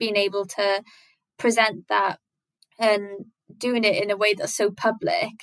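A woman talks with a south-west Wales accent. Her pitch varies in an ordinary way. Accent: Welsh (south-west Wales). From Wales, Carmarthen. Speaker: illustrator and artist. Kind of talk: casual interview chat.

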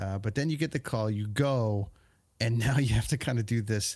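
A man talks at a moderate pace and medium pitch in a somewhat breathy voice. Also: very clean recording, silent background. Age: 40s. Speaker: podcast host. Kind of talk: casual interview. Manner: halting.

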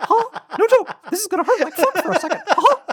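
An extremely high-pitched, put-on character voice at a fairly quick pace. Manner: comedic, cartoonish.

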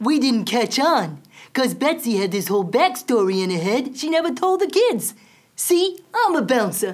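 Using a cartoonish character voice, a woman speaks at a moderate pace in a high pitch with very wide pitch swings. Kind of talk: cartoon puppet voice. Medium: audio drama.

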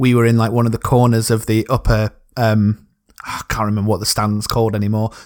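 In a very clean recording with a silent background, a man with a South Yorkshire accent talks at a very fast pace in a medium pitch and monotone, flat intonation. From South Yorkshire, England. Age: 30s. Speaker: football podcast co-host. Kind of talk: casual interview chat.

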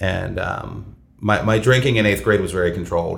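Over music in the background, a man with an American accent talks at a moderate pace, and audible room echo surrounds his voice. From Columbus, Ohio. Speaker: recovery group co-chair, restaurant worker. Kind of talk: casual interview. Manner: halting, many fillers.

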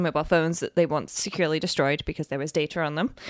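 A woman with a British accent speaks at a fairly low pitch. The sound is dry and close with no echo, on a very clean recording with a silent background. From UK. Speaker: software developer. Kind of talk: casual chat.

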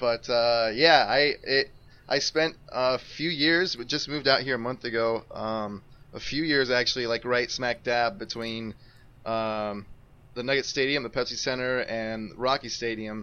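This man has an ordinary speaking voice with an American accent and a medium pitch. He talks at a fairly slow pace with ordinary pitch variation. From Colorado, US. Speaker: basketball writer, new co-host. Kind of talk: casual chat.

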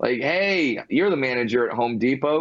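Talking at a moderate pace with ordinary pitch variation, a man speaks with a Californian accent. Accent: Californian American English. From Southern California (Fullerton). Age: 30s. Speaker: stand-up comedian. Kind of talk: interview.

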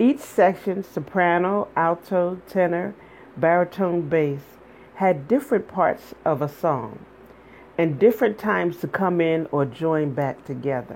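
Her fairly low pitch and lively intonation come through a normal speaking voice as the woman talks at a fairly slow pace. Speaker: radio host. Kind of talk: spoken word poetry reading, read aloud from her book. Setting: radio studio broadcast.

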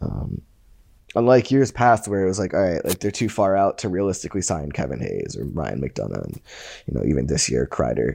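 Against a quiet background, a man with a very deep, low pitch and vocal fry speaks with very wide pitch swings. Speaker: hockey writer. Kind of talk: casual chat. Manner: many fillers and restarts.

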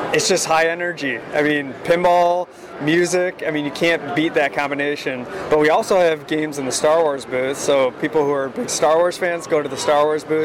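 Noticeable background noise sits behind a man at a moderate pace. His pitch is fairly high, and his intonation is fairly even. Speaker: marketing director. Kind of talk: interview. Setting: convention.

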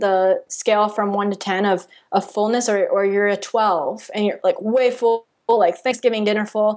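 Against a quiet background, a woman with an unremarkable speaking voice talks at a fairly slow pace, her pitch fairly high and her intonation fairly even. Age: 20s. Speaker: podcast host and diet-recovery coach. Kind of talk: interview.

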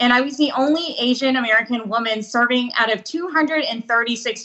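At a fairly quick pace, a woman talks in a normal speaking voice with ordinary pitch variation. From US, Vietnamese-American family. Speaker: state legislator. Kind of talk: interview.

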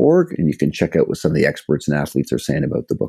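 The man's tone is dark and mellow, and the sound is dry and close with no echo. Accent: Canadian. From Canada, Toronto. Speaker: sports scientist and author. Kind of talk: podcast interview.

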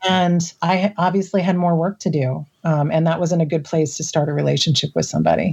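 A woman with an American accent speaks at a fairly quick pace, her fairly low, somewhat breathy voice keeping fairly even intonation and very even loudness. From US Midwest. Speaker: podcast guest sharing personal story. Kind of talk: casual interview, personal storytelling.

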